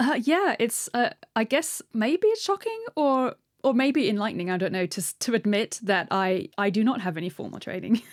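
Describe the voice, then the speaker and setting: Her pitch is fairly high and swings very widely. The woman speaks at a moderate pace with a British accent. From Britain. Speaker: marine biologist and science writer. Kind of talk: interview. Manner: halting.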